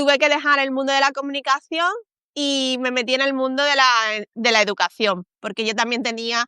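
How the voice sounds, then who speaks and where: A woman's high-pitched voice with a bright, sharp tone, ordinary pitch variation and a moderate pace, dry and close with no echo over a quiet background. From Spain. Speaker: communications professional. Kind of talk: interview. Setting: live stream.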